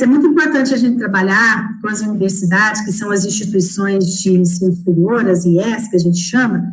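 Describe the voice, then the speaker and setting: Noticeable background noise and audible room echo surround the voice. A woman speaks with a fairly high pitch. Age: 40s. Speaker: education analyst, former teacher. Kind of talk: closing remarks in an online live talk. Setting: online live stream.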